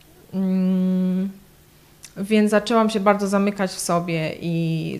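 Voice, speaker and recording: A woman speaks with a medium pitch. Her intonation is monotone and flat. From southern Poland, between Kraków and Katowice. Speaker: church member, graphic artist. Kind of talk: testimony. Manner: hesitant, many fillers.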